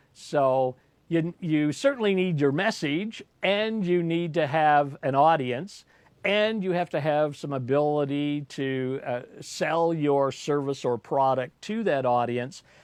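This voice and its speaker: Against a quiet background, the speech moves at a very slow pace. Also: man, fairly high pitch for a man, ordinary pitch variation. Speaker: business coach and livestream host. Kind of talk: solo livestream talk. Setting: live video broadcast. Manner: loud, articulated; animated, with hesitant fillers.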